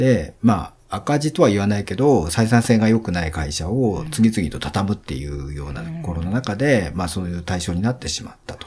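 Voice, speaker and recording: Almost without pausing, a man talks with very wide pitch swings. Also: fairly low pitch for a man, moderate pace, big swings in loudness. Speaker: event company CEO. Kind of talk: interview.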